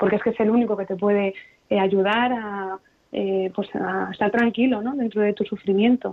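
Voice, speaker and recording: A woman's normal speaking voice at medium pitch, with fairly even intonation and a moderate pace. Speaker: kidney transplant patient. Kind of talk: radio interview.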